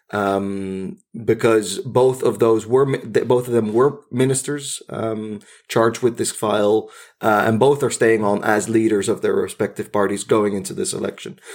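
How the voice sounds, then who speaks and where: A man with a Dutch accent speaks at medium pitch and a moderate pace with ordinary pitch variation, in a very clean recording with a silent background. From Netherlands, Zwolle. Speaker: podcast co-host. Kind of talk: casual chat; scripted narration.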